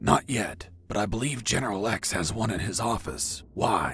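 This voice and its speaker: Using a put-on character voice at a medium pitch, a man speaks at a moderate pace over clear background noise. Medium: video game. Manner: terse, profane.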